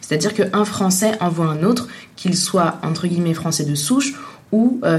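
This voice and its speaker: A woman's somewhat breathy voice with ordinary pitch variation and audible room echo. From Tunisia. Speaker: journalist. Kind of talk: interview. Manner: hesitant, many fillers.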